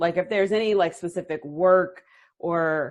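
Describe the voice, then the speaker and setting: A woman talks in a plain, everyday voice at a medium pitch. Her pace is moderate and the background is quiet. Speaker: interviewer. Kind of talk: interview host talk.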